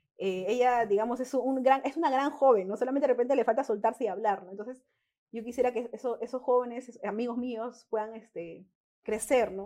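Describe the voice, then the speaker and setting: Her voice has a dark, mellow tone at a fairly high pitch. The woman talks at a fairly quick pace with ordinary pitch variation. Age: 20s. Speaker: local councillor. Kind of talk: interview.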